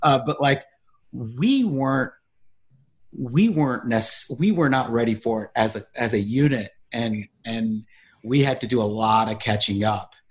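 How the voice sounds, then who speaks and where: An unremarkable speaking voice with an American accent, fairly slow pace, ordinary pitch variation, and a quiet background. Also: man, medium pitch for a man. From US South, Charlotte, North Carolina. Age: 40s. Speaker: actor and documentary maker. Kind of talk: interview conversation.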